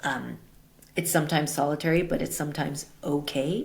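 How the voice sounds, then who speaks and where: In an American accent, a woman with a very deep, low pitch and vocal fry speaks at a moderate pace. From US Northeast, Brooklyn, New York City. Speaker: tech executive and advisor. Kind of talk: interview. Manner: loud.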